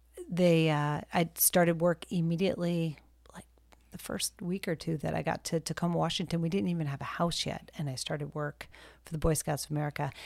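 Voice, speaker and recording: A woman with a normal speaking voice and fairly low pitch talks at a fairly quick pace. Her intonation is fairly even, and the recording is very clean with a silent background. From military family, moved around; calls Texas home. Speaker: nonprofit director and army spouse. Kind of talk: interview, personal story.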